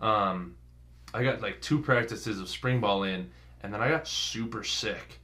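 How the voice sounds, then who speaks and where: Fairly slow speech in an American accent, bright and sharp in tone with vocal fry and audible room echo. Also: man, ordinary pitch variation. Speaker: college football player. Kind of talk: interview.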